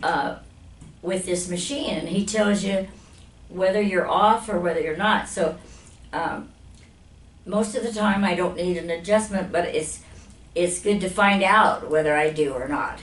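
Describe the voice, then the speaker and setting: In an American accent, a woman speaks fairly slowly at a medium pitch, with ordinary pitch variation and long, frequent pauses. Audible room echo and noticeable background noise are present. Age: 80s+. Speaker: chiropractic patient giving testimonial. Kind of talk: testimonial interview. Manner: halting, with fillers and repetitions.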